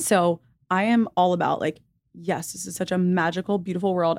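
A woman has a normal speaking voice, fairly low in pitch. She talks at a fairly quick pace on a very clean recording with a silent background. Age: 20s. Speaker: intuitive / spiritual guide. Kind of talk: casual chat; guided meditation.

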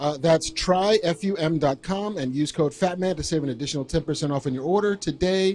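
Here a man has an unremarkable speaking voice, fairly high in pitch with ordinary pitch variation. He keeps a moderate pace with hardly any pauses. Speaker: podcast co-host. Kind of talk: live podcast chat. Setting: stage with audience.

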